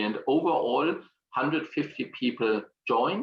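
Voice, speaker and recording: This man has a strong German accent. He talks at a moderate pace. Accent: German accent, self-described as strong. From Germany. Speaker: exhibition industry consultant. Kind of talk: online presentation. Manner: hesitant, with fillers and repetitions.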